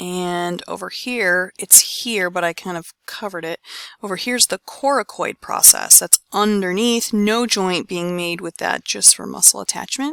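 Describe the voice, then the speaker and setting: A woman's medium-pitched, an unremarkable speaking voice, with ordinary pitch variation, a moderate pace and hardly any pauses, in a dry, close sound with no echo on a very clean recording against a silent background. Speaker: anatomy teacher. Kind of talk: lecture.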